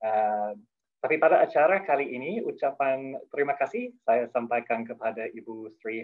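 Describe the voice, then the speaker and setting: A man at a moderate pace with a non-native accent. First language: not Indonesian (speaking Indonesian). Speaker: head of a development program, opening speaker. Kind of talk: formal opening speech. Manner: halting, with self-corrections; formal.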